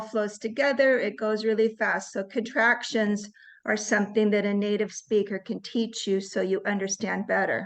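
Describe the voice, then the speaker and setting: In a normal speaking voice, a woman with an American accent talks at a fairly slow pace. Her pitch is fairly high and her intonation fairly even. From US West Coast, Seattle area. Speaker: native-speaker English trainer. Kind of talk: online English class talk.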